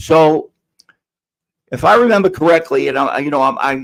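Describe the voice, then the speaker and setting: A man speaks with a New York accent. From New York City (Queens). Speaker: podcast host. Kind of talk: casual chat. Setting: live stream. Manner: halting, many fillers.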